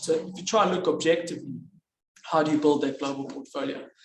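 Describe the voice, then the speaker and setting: Talking at a very fast pace, a man with a fairly high pitch is heard with audible room echo. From South Africa, Johannesburg. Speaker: investment advisor. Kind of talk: business presentation. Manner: hesitant, many fillers.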